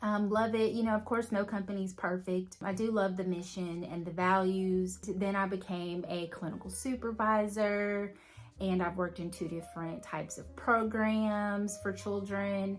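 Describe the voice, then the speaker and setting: Speaking in a Southern US accent, a woman keeps a medium pitch, a moderate pace, monotone, flat intonation and hardly any pauses. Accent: Southern US accent, noticeable. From Alabama. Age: 30s. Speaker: lifestyle vlogger. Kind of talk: casual vlog talk to camera. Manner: conversational, with fillers.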